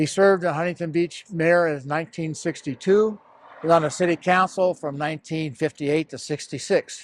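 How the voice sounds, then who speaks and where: An ordinary speaking voice at a fairly quick pace with fairly even intonation, dry and close with no echo, on a very clean recording with a silent background. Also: man, fairly high pitch for a man. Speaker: former mayor. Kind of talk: episode introduction.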